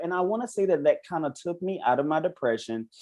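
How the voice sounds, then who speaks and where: Speaking with a Southern US accent, a man with a dark, mellow tone talks at a very fast pace with very wide pitch swings. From South Carolina, Orangeburg. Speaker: reality show contestant. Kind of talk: interview podcast. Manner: casual.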